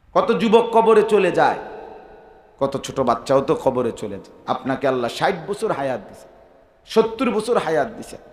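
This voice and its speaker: A man speaks high for his sex, his pitch swinging very widely. His loudness rises and drops sharply, and the room echo is audible. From Bangladesh. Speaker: Islamic preacher. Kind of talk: sermon. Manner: animated. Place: stage. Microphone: podium.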